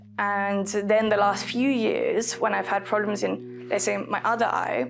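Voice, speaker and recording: A woman talks at a fairly slow pace with very even loudness, with audible room echo and music playing in the background. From Costa Rica (born in London). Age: 20s. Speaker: artist. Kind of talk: interview testimony. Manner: hesitant, many fillers.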